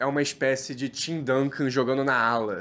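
A man speaks fairly slowly in an animated tone. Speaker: basketball podcast host. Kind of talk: casual banter. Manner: animated, slangy.

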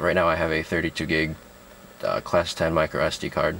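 A man speaks in a dry recording with no echo and a little background noise. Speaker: product reviewer. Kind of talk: tutorial. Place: car. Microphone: phone near.

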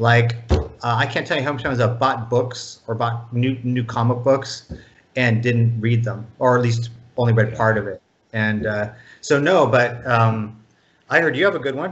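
With an American accent, a man speaks at a moderate pace with ordinary pitch variation and a somewhat breathy voice. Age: 50s. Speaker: video game producer; guest. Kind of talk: interview. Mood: relaxed, reminiscing. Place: home room. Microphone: video call.

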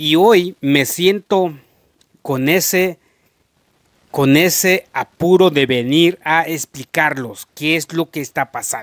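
Pitched fairly high, a man with a slight Mexican accent speaks in a dry sound with no echo. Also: quiet background. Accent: slight Mexican tinge. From rural Guatemala. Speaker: YouTuber. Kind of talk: casual vlog monologue. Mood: earnest, explaining, apologetic. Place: home room. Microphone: handheld.

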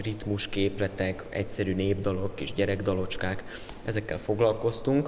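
With light background noise, a man speaks at a moderate pace in a fairly low pitch and fairly even intonation. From southern Hungary, Pécs; Hungary. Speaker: music student, classical guitarist. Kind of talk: interview; interview answer. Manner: hesitant, repeats words. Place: hall.

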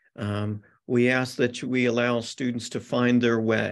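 Against a quiet background, a man talks in a monotone, flat intonation. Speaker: presenter. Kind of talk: presentation to parents. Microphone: video call.

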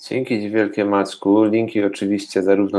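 A man speaks with a Polish accent. His pitch sits fairly low. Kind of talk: casual interview.

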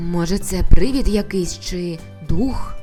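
A woman puts on a shaky character voice at a fairly slow pace. Clear music plays in the background.

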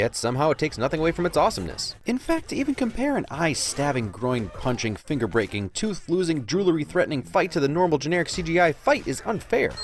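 Very wide pitch swings at a very fast pace, with noticeable background noise. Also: man. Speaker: film commentary narrator. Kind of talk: comedic movie commentary voice-over.

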